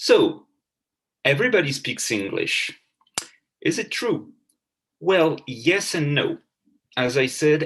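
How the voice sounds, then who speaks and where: A man with a French accent. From France. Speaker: professor. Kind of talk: lecture. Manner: halting.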